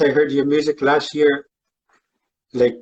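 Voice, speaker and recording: The speaker has a Canadian Arctic accent. The pace is fairly slow. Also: man. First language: Inuktitut. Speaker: fan and amateur guitarist. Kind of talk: casual live stream chat. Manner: halting.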